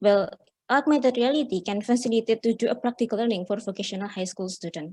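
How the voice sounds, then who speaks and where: At a very fast pace, the voice comes out somewhat breathy, with a dark, mellow tone. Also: woman, fairly high pitch for a woman, ordinary pitch variation. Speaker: conference presenter. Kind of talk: academic presentation. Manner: halting.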